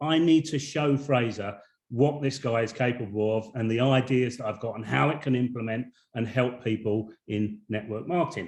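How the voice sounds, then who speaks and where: A man speaks in a British accent at a medium pitch. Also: ordinary pitch variation, moderate pace. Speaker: network marketing business owner. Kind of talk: webinar presentation. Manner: halting, with many repetitions.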